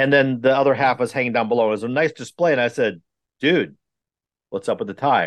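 A man speaks very fast at a medium pitch with vocal fry over a quiet background. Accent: American. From Milwaukee, Wisconsin. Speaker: safety consultant and podcast host. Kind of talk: casual chat.

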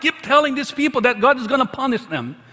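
With noticeable noise around him, a man speaks in a raised, projected voice at an extremely high pitch, with ordinary pitch variation. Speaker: pastor. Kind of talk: sermon. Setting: church.

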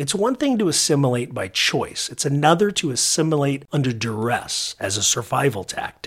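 A man with a Californian accent, fairly high-pitched, with very wide pitch swings, a moderate pace and hardly any pauses. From southern California. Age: 50s. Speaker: podcast host. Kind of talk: scripted narration.

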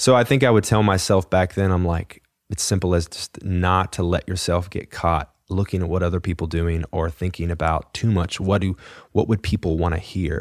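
A man with a Texan accent and a very deep, low pitch, fairly even intonation at a moderate pace, in a dry, close sound with no echo. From Texas, Fort Worth area. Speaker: songwriter and singer. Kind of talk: casual interview.

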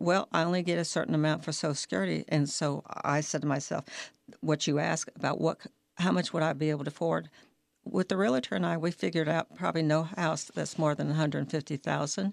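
This woman's pitch is very deep and low, with vocal fry. She talks at a very fast pace. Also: ordinary pitch variation, very clean recording, silent background. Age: 70s. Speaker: retired federal employee sharing her homelessness story. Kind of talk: personal testimony in a radio interview.

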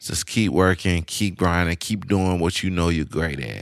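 With a Louisiana accent, a man speaks at a very deep, low pitch in an animated, relaxed tone. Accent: Southern US, Louisiana. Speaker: podcast co-host. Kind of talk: casual chat. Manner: animated, relaxed slang.

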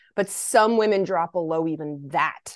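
Fairly low-pitched woman with an American accent, fairly slow, ordinary pitch variation, dry, close sound with no echo. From Kentucky, US South. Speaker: naturopathic doctor. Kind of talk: interview, health education. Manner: animated.

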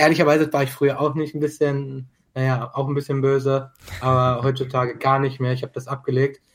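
A man with a fairly high pitch, monotone, flat intonation, a somewhat breathy sound and a fairly quick pace. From Germany, Dortmund. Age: 20s. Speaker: esports club co-founder. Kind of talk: casual chat.

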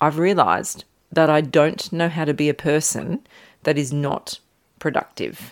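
The voice moves at a moderate pace with ordinary pitch variation on a very clean recording with a silent background. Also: woman, very deep, low pitch for a woman. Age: 40s. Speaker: yoga teacher and podcast host. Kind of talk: reflective solo podcast monologue. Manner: frequent laughter.

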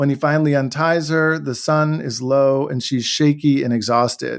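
An unremarkable speaking voice with an American accent moves at a moderate pace with fairly even intonation, in a very clean recording with a silent background. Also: man. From Washington DC area, US. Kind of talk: interview conversation and reading aloud.

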